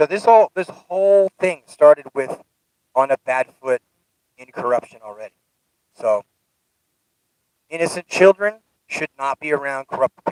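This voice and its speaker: A fairly high-pitched man at a moderate pace, lively in intonation, with big swings in loudness and long, frequent pauses, in a dry, close sound with no echo. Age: 50s. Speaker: youtuber sharing personal life advice. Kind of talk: personal monologue. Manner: casual, conversational.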